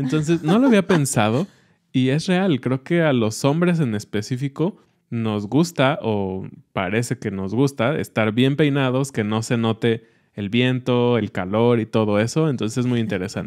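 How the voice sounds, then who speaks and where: In a quiet setting, a man talks at a fairly slow pace. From Mexico. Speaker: Spanish teaching podcast host. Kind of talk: educational casual chat. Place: studio. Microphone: studio mic.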